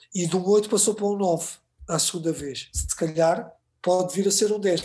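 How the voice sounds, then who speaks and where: A man speaks with fairly even intonation. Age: 40s. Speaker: filmmaker and TV editor. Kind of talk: casual chat. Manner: halting, many repeated words.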